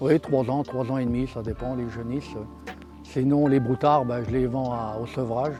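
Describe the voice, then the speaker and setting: Music plays behind a man speaking at a medium pitch. His intonation stays fairly even. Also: moderate pace. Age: 70s. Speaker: cattle farmer. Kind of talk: interview answer.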